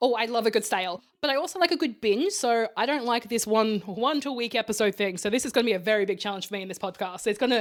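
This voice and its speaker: With an Australian accent, a woman talks at a very fast pace with hardly any pauses, her fairly high pitch showing ordinary variation. The recording is very clean, with a silent background. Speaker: podcast co-host. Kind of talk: casual chat. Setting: co-host's bedroom.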